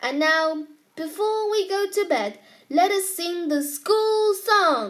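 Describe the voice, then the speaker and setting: In a put-on character voice, the speech unfolds at a fairly slow pace. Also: woman, extremely high pitch for a woman. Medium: read story. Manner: genial, twinkling.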